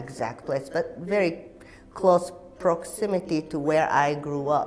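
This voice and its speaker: With a Japanese accent, a woman talks at a fairly low pitch with ordinary pitch variation over noticeable background noise. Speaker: actor and activist. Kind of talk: interview.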